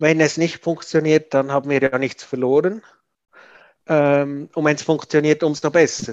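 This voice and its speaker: A man speaks at a fairly high pitch and a fairly slow pace. His voice sounds dry and close, with no echo. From Switzerland. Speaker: parent of a gifted child. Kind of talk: interview. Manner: halting, many fillers.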